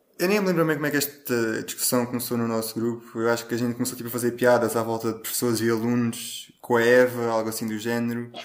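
Through noticeable background noise, a man at medium pitch talks at a very fast pace with hardly any pauses and fairly even intonation. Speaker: podcast host. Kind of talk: casual debate among friends.

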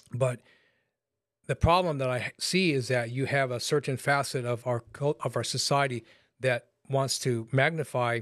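On a very clean recording with a silent background, a man with an American accent speaks in a normal speaking voice at medium pitch, keeping a moderate pace and fairly even intonation. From Los Angeles, California. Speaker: pastor. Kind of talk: casual chat.

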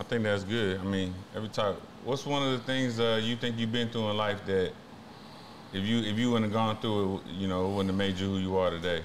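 A man with an American accent, fairly low in pitch, with fairly even intonation and audible room echo. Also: fairly quick pace. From San Antonio, Texas. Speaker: podcast host. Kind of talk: interview.

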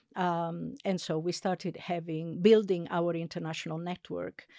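Over a silent background on a very clean recording, a woman with an Italian accent speaks in a dark, mellow tone, the sound dry and close with no echo. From Italy, Sardinian family. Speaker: linguistics professor. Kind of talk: interview. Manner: hesitant, many fillers.

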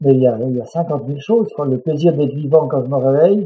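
A man's plain, everyday voice, fairly high in pitch, at a moderate pace. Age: 60s. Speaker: mountain guide and public speaker. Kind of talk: interview.

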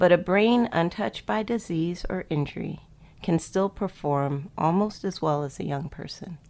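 A woman with an American accent speaks in a fairly low pitch at a moderate pace. Hers is a plain, everyday voice, with lively intonation. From Miami, Florida. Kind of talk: radio interview.

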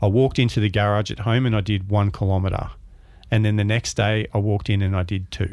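With an Australian accent, a man speaks at a fairly quick pace, his fairly low pitch held in fairly even intonation. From Melbourne, Australia. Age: 50s. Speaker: photographer and author. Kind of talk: interview.

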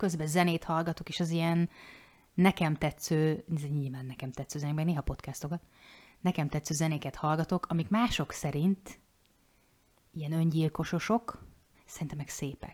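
A woman speaks in a very deep, low voice, with long and frequent pauses. The sound is dry and close with no echo, and the recording is very clean against a silent background. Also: ordinary pitch variation, moderate pace. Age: 40s. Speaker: podcast co-host, life coach. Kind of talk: casual chat.

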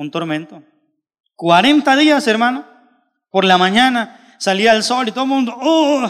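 A man speaks at an extremely high pitch with lively intonation. His pace is fairly slow, broken by long, frequent pauses. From Colombia. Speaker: pastor. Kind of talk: sermon.

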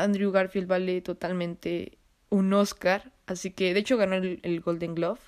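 A woman speaks at a medium pitch in a monotone, flat intonation. The recording is very clean with a silent background. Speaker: podcast host. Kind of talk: solo casual monologue with film recommendations. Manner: halting, stumbles over words.

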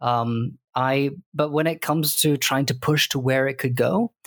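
A man talks at a moderate pace with a British accent. The recording is very clean, with a silent background. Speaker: podcast co-host. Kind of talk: casual chat.

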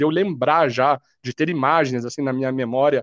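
Against a quiet background, a man with a fairly high pitch and fairly even intonation is heard dry and close with no echo. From Brazil, Curitiba (Paraná). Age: 30s. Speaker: football fan. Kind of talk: casual chat.

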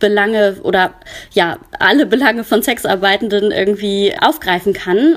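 A fairly high-pitched woman at a moderate pace. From Germany, Cologne. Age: 30s. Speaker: counselor for sex workers. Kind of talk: interview. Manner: hesitant, many filler sounds.

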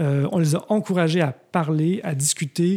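In a very clean recording with a silent background, a man with a normal speaking voice talks at a fairly high pitch and with lively intonation. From Quebec, Montreal. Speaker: architect and urban researcher, new professor. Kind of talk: casual interview.

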